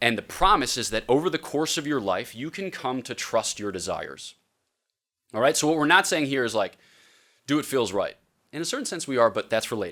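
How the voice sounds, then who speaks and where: Animated and bright, with a sharp tone, a man's medium-pitched voice has lively intonation and a fairly quick pace on a very clean recording with a silent background. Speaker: priest and theology professor. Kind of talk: lecture. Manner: fast.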